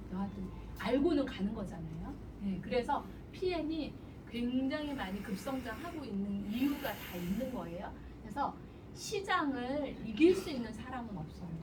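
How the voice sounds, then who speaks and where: A woman at a moderate pace with high pitch, very wide pitch swings and an animated tone, amid noticeable background noise and audible room echo. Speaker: business seminar speaker. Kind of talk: seminar lecture. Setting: seminar room with audience and microphone. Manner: animated, persuasive.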